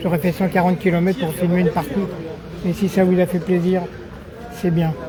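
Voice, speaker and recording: A man with a high voice speaks at a fairly quick clip and very even volume, leaving long, frequent pauses while a crowd murmurs in the background. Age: 70s. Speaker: amateur sports videographer and commentator. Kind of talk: casual chat; live commentary. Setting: outdoors at a petanque tournament. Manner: casual.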